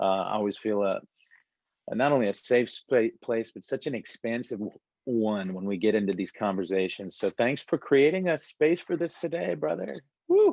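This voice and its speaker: With a quiet background and a dry, close sound with no echo, a man in an American accent speaks at a moderate pace, his medium pitch making very wide swings. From US, raised by Palestinian parents from age two. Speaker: breathwork teacher and author. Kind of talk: casual interview conversation.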